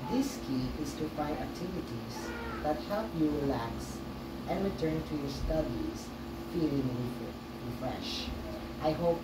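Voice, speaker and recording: A woman speaking at a fairly slow pace over loud background noise. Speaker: student podcast host. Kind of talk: scripted podcast reading. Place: home room. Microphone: camera far.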